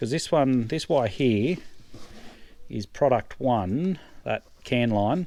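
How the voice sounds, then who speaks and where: A man with an Australian accent and lively intonation on a very clean recording with a silent background. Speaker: farmer. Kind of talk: tutorial. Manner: quiet.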